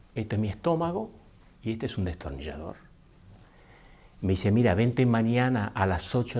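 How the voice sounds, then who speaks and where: A man with an Argentine accent, medium-pitched, at a moderate pace. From Argentina. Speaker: speaker. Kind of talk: talk to an audience, personal story.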